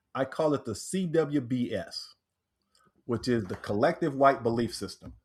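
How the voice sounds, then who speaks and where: Somewhat breathy and fairly high-pitched, a man speaks with an American accent at a fairly slow pace in a very clean recording with a silent background. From Texas, Corpus Christi. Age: 60s. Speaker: author and transformational teacher. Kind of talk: podcast interview.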